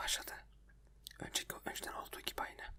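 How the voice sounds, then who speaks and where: A man whispering. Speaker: ASMR video creator. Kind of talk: whispered ASMR chat talking about his computer problems. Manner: whispered, soft.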